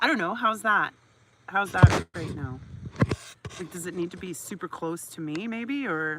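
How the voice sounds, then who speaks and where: A woman speaks loudly at a moderate pace in a fairly low voice, leaving long, frequent pauses. Her tone is animated and her intonation lively. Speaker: livestreamer reading a book aloud. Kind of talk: casual chat. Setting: outdoors. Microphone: poor audio.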